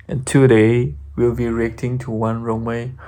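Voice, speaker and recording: Medium-pitched man's voice, dark and mellow in tone, with ordinary pitch variation. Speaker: YouTuber reacting to music videos. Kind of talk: reaction video commentary. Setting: home recording at night. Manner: quiet, lowered voice.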